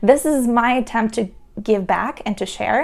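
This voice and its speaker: A woman's voice sits high in pitch. She speaks at a moderate pace. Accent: Russian. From Russia. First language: Russian. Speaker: entrepreneur and productivity vlogger. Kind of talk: tutorial.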